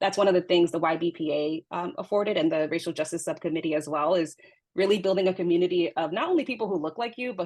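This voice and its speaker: A speaker with an American accent talks at a very fast pace. The pitch varies in an ordinary way. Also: woman. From New York, Dominican heritage. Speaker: scientist. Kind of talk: panel discussion.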